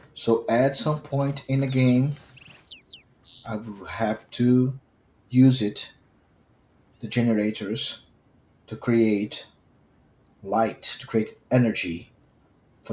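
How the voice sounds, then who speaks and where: A man's medium-pitched, dark and mellow voice with a strong Brazilian accent, very slow with long, frequent pauses, fairly even intonation and big swings in loudness. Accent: thick Brazilian. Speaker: gaming streamer. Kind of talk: gameplay commentary. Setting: live stream recording.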